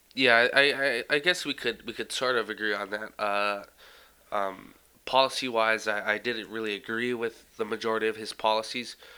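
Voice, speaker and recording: A man with a bright, sharp tone talks at medium pitch on a very clean recording with a silent background. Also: fairly even intonation, moderate pace. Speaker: podcast co-host. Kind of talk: casual political podcast discussion. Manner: halting, filler-heavy.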